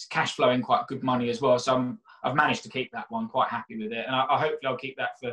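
A man with a South London accent speaks at a very fast pace in a bright, sharp tone, with ordinary pitch variation over a quiet background. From South London (Catford, Bromley area). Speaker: mortgage broker and property investor; guest. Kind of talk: casual interview. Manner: hesitant, repeats words. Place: home room. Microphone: webcam.

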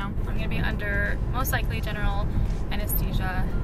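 A woman talks at a fairly quick pace. The sound is dry with no echo, and music plays clearly in the background. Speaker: vlogger. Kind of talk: casual vlog chat. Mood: groggy after surgery. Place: car. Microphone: phone near.

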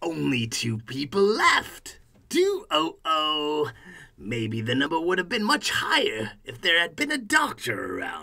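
This man uses a cartoonish character voice. His pitch sits fairly high. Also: fairly slow pace. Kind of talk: comic horror narration. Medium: puppet show. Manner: punny, sardonic.

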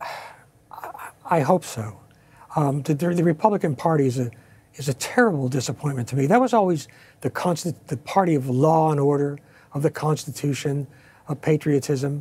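With an American accent, a man with a fairly high voice for a man speaks at a moderate pace in a dark, mellow, somewhat breathy tone, his pitch varying ordinarily between long, frequent pauses. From Pennsylvania coal region. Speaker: retired army officer and author; analyst. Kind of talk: TV news interview. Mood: passionate, indignant. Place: studio.

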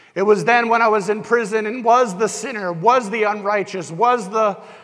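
Amid noticeable background noise and audible room echo, a man with an American accent talks in a high pitch with fairly even intonation. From US Northeast, New Hampshire. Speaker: pastor. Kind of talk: sermon. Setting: church.

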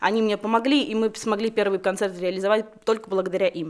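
With a quiet background behind her, a woman speaks at a moderate pace using ordinary pitch variation. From Belarus, Babruysk; Belarus. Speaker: concert organizer; guest. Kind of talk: studio interview. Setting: radio studio. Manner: halting. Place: studio. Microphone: studio mic.

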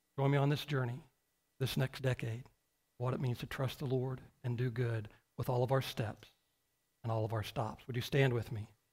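Against a quiet background, a man with a medium-pitched, somewhat breathy voice talks with fairly even intonation and long, frequent pauses. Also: moderate pace. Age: 50s. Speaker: pastor. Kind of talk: sermon. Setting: church. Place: church.

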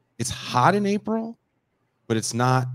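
A man's voice with very wide pitch swings over a quiet background. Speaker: musician and podcast host. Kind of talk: casual chat. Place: home room. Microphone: handheld.

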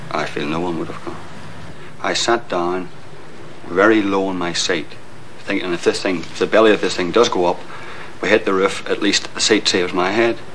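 Pausing long and often, a man with a very deep, low pitch speaks at a moderate pace with ordinary pitch variation over light background noise. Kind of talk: interview answer. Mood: grave, emotional recollection. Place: stadium. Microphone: old recording.

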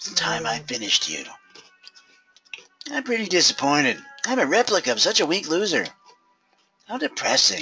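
In a put-on character voice at middle pitch, the speaker swings very widely in pitch at a moderate pace, leaving long, frequent pauses over faint music in the background. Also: female-sounding voice. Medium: game stream. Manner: whiny, ridiculous.

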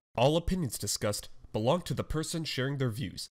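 A man speaks in a plain, everyday voice with lively intonation at a fairly quick pace. The recording is very clean, with a silent background. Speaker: podcast host. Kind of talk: podcast interview questions.

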